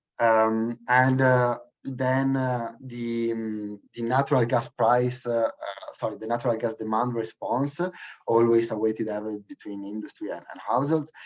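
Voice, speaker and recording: In an Italian accent, a man speaks at a moderate pace with fairly even intonation. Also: medium pitch for a man. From Italy. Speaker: energy policy researcher. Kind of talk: webinar presentation. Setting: online webinar. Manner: halting, many fillers.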